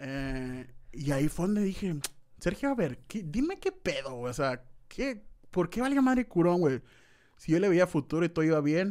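A man speaks at a high pitch with very wide pitch swings. His pace is moderate, and the recording is very clean with a silent background. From Mexico, Sonora (Hermosillo). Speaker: YouTuber. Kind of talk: casual chat.

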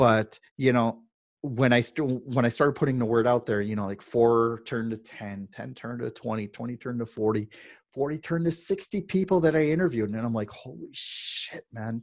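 A man's normal speaking voice at medium pitch, with ordinary pitch variation and big swings in loudness. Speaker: digital nomad business owner. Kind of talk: casual interview chat. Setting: podcast interview with a dynamic microphone. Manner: conversational, many filler words.

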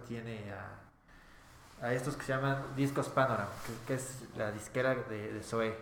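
With a Mexican accent, a man talks at a fairly slow pace in a medium pitch and fairly even intonation, with noticeable background noise and audible room echo. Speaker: rock band member. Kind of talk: casual interview.

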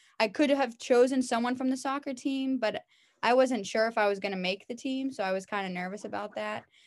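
A woman's high-pitched voice at a fairly quick pace, on a very clean recording with a silent background. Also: ordinary pitch variation. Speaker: physical education teacher. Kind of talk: interview. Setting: call.

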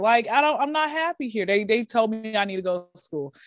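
A woman speaks in a Southern US accent with an animated tone and lively intonation at a fairly quick pace. The recording is very clean, with a silent background. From US South. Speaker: comedian. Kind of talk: casual chat.

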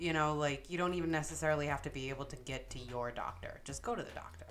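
Someone speaks at a very fast pace over noticeable background noise and audible room echo. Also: woman. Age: 30s. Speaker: podcast co-host. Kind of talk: casual chat. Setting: home dining room.

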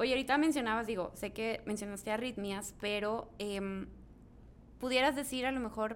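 A woman talks in a normal speaking voice, fairly high-pitched, with ordinary pitch variation. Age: young. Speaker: podcast host. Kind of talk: interview.

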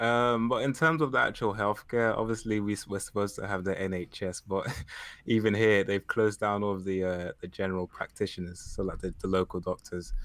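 The delivery comes in an unremarkable speaking voice at a fairly quick pace with fairly even intonation. The recording is very clean, with a silent background. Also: man, fairly low pitch for a man. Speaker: guest on call. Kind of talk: casual chat. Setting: group call.

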